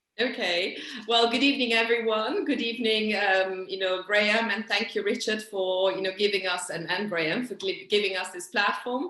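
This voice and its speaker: A woman's medium-pitched voice with hardly any pauses, over noticeable background noise. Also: ordinary pitch variation, moderate pace. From Italy, Milan. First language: Italian. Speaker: interpreter and translator, activist. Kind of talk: video call panel talk. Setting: video call. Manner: hesitant, many fillers.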